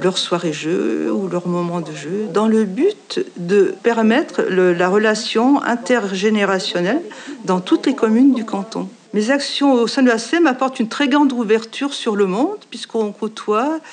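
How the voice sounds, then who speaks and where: A woman speaks at a fairly high pitch and a fairly slow pace. Noticeable background noise runs underneath. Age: 60s. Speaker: association volunteer. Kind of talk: testimony.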